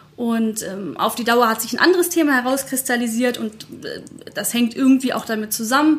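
There is noticeable background noise as a woman speaks at a high pitch. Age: 30s. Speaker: digital transformation consultant and blogger. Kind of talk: interview.

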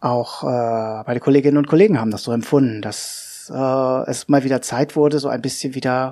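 A man holds a medium pitch and fairly even intonation while speaking at a moderate pace. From Hannover, northern Germany. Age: 40s. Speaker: podcaster talking about his depression. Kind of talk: personal monologue. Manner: halting, many fillers.

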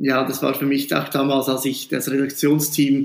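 A man's fairly high voice at a fairly slow pace. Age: 40s. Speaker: school principal. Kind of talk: interview.

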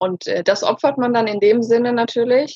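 The speaker has a normal speaking voice, talking at a moderate pace with fairly even intonation in a dry, close sound with no echo. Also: woman. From Germany. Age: 30s. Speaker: self-love coach, former social worker. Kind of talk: interview.

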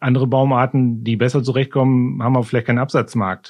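A man talks at a fairly quick pace at medium pitch. He has a plain, everyday voice. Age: 50s. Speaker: climate official at a county administration. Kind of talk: interview. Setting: studio, seated at a distance.

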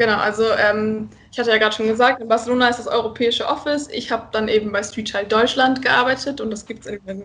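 A woman's fairly high voice, very fast and fairly even in intonation. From northern Germany, Friesland. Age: 20s. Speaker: student and charity volunteer. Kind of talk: casual interview.

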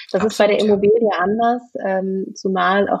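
A woman speaks at a medium pitch in a flat monotone. The pace is moderate. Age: 30s. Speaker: management consultant and real estate investor. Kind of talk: podcast interview. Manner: hesitant, many fillers.

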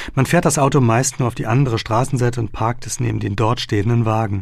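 A man speaks at a moderate pace in a medium pitch with a somewhat breathy voice, on a very clean recording with a silent background. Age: 30s. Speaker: journalist and author reading his own book. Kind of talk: audiobook reading.

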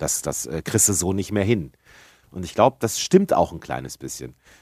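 On a very clean recording with a silent background, a man speaks at a fairly quick pace with lively intonation and vocal fry. The sound is dry and close, with no echo. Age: 40s. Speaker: gaming podcast co-host. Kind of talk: casual chat.

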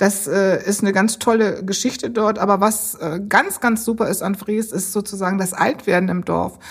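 Somewhat breathy woman's voice at a medium pitch, moderate pace and fairly even intonation. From Bremen. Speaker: civil servant, department head. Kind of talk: interview.

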